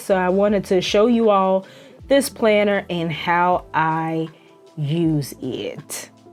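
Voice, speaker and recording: A woman speaks with a Southern US accent and lively intonation. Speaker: planner youtuber. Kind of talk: product review voiceover. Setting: voiceover recording. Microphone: original audio was bad, redone as voiceover.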